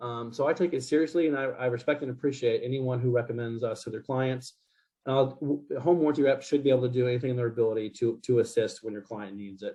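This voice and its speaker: At a very fast pace, a man talks in a medium pitch. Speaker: home warranty representative. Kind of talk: presentation to realtors. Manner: animated.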